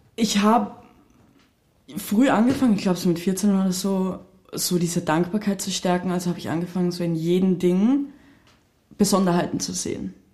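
A woman speaks at a moderate pace in a somewhat breathy voice with a dark, mellow tone, ordinary pitch variation, and long, frequent pauses. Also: medium pitch for a woman. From Austria. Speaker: podcast co-host. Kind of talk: casual interview.

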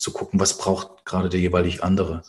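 A man talks at a fairly quick pace. His voice has vocal fry. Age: 30s. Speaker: fathers' coach and author. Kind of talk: interview conversation.

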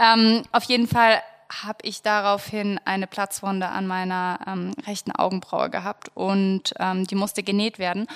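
In a dry, close sound with no echo, a woman speaks at a fairly slow pace and a medium pitch, her intonation monotone and flat. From Germany, Munich. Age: 20s. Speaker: lifestyle blogger, podcast co-host. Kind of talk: casual chat.

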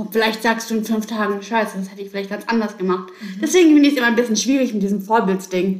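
A woman talks with a fairly high pitch. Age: 30s. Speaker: salesperson and student. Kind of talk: casual chat. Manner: animated.

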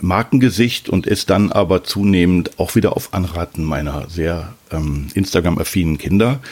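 A man with a very deep, low voice speaks at a moderate pace, his pitch varying in an ordinary way. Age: 50s. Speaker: father using Instagram. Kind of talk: interview.

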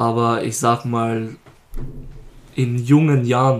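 The speaker is a man with a medium-pitched voice. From Lower Austria. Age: 20s. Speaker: rapper. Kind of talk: casual interview.

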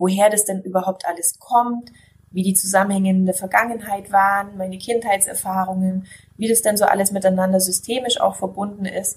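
A woman's medium-pitched, flat, monotone delivery at a fairly quick pace. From southern Germany, Allgäu. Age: 40s. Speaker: naturopath. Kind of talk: interview testimony.

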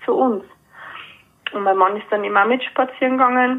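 The pace is fairly quick. A woman speaks, her intonation staying fairly level throughout. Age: 40s. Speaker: animal communicator and painter. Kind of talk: casual interview.

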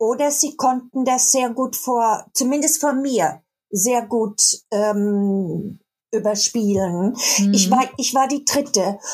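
A woman speaks at a very slow pace with a high pitch. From Baden, southern Germany. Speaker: writer. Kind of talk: casual chat.

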